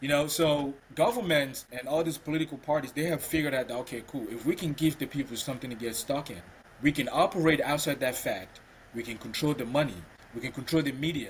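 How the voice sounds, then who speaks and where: This man talks very fast in a fairly high pitch, a little breathy, with ordinary pitch variation. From Cameroon. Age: 30s. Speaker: podcast co-host. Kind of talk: casual discussion.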